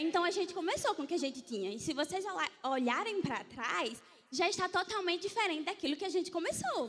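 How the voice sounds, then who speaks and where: Her voice extremely high, a woman speaks in an animated tone with lively intonation. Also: fairly quick pace. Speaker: church media team leader. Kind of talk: church conference talk.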